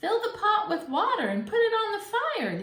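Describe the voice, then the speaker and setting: Putting on a squeaky character voice, a woman speaks at an extremely high pitch with lively intonation. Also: moderate pace. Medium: read story. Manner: polite but scheming.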